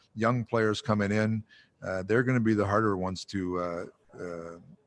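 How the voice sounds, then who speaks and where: Speaking at a fairly quick pace, a man uses a fairly low pitch and monotone, flat intonation. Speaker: hockey head coach. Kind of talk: press conference. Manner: mumbling; hesitant, many fillers.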